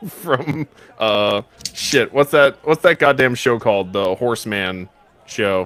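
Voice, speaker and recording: Against noticeable background noise, a man at medium pitch talks at a very slow pace with lively intonation. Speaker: game master of tabletop roleplay. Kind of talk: tabletop roleplay narration. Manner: halting, many fillers.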